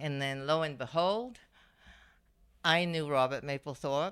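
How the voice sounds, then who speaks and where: A woman's very deep, low voice with ordinary pitch variation at a moderate pace, on a very clean recording with a silent background. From Malaysia. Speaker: fashion designer. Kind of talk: interview.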